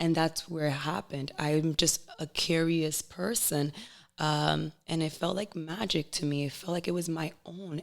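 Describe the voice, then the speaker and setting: A woman with a Spanish accent speaks with a very deep, low pitch. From Providence, Rhode Island, US; Dominican family. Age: 20s. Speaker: podcast guest, fitness competitor. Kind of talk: casual chat.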